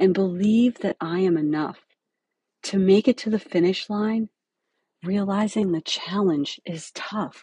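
A woman of medium pitch speaks at a fairly slow pace with long, frequent pauses and ordinary pitch variation. Her tone is dark, mellow and somewhat breathy, recorded dry and close with no echo over a quiet background. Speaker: podcast host and dental hygiene educator. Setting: podcast recording.

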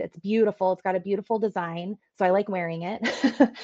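This woman talks at a moderate pace with medium pitch and fairly even intonation. It is an ordinary speaking voice. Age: 40s. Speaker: event company executive. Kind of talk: casual interview.

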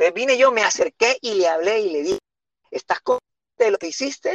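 A man speaks at an extremely high pitch with very wide pitch swings, in a dry, close sound with no echo. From Honduras, San Pedro Sula. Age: 30s. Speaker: pastor. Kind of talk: casual chat.

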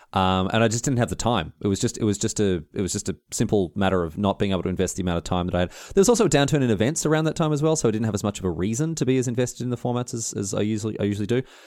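Very fast and with hardly any pauses, a man speaks at a fairly low pitch with lively intonation. The recording is very clean, with a silent background. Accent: Australian. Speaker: podcast co-host. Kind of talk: casual chat.

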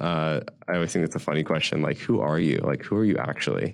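A man's very deep, low voice with an American accent, over a quiet background. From US Mid-Atlantic (Washington DC area). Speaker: tech company founder. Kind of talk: interview.

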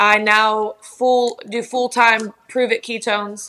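A woman with a Kentucky accent speaks at a fairly high pitch. Her tone is bright and sharp, and her intonation stays flat and monotone. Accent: Southern US, Kentucky. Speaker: TikTok creator. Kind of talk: casual interview chat.

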